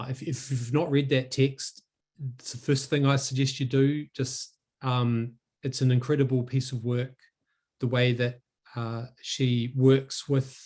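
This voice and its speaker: In a New Zealand accent, a man speaks fairly slowly in a somewhat breathy, medium-pitched voice with monotone, flat intonation. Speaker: academic researcher. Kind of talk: academic talk. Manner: halting, many fillers and repetitions.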